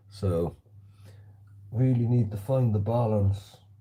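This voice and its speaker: A man's dark, mellow, somewhat breathy voice with fairly even intonation and an American accent. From South Wales. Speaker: slingshot shooter livestreamer. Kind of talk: casual livestream chat. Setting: livestream shooting in hallway at home.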